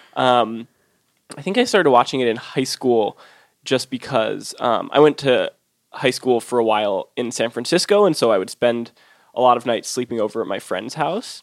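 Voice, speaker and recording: This is an ordinary speaking voice: a man with an American accent at a medium pitch and a moderate pace. His pitch varies in an ordinary way, and the sound is dry and close with no echo. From US West Coast, Oakland. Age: 20s. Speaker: food writer and cookbook author. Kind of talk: casual interview.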